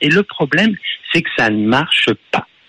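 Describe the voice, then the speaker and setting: With a slight Parisian accent, a man speaks fairly slowly at a fairly high pitch, the sound dry and close with no echo but with noticeable background noise. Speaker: radio caller. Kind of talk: phone-in sports debate.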